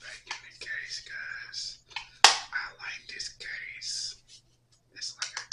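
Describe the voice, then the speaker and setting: A man whispers at a very slow pace, with long, frequent pauses and big swings in loudness. Noticeable background noise is heard. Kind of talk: ASMR unboxing talk. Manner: whispered, soft-spoken.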